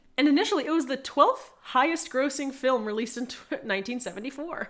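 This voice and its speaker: A woman speaks in a high pitch at a very fast pace. Her intonation is lively. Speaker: podcast co-host. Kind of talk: casual chat.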